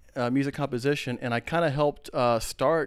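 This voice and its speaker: A man with a normal speaking voice, fairly quick pace and ordinary pitch variation, on a very clean recording with a silent background. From Texas (San Antonio, Austin). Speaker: keyboardist and entertainer. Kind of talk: casual chat.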